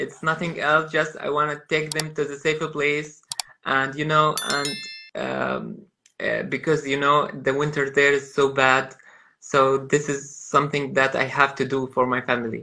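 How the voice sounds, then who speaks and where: The background is quiet as a man speaks with a fairly high pitch. His intonation is monotone and flat. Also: moderate pace. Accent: Arabic. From Gaza, Palestine. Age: 30s. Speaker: photographer. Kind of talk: interview. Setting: video call. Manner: halting. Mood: earnest, pleading. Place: home room. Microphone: video call.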